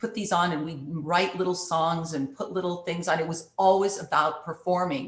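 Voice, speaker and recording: A woman with a Canadian accent speaks at a moderate pace with a fairly low pitch. Her intonation is fairly even and her voice somewhat breathy. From Canada, Thunder Bay, Ontario. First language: Italian. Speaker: actress and playwright. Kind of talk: interview.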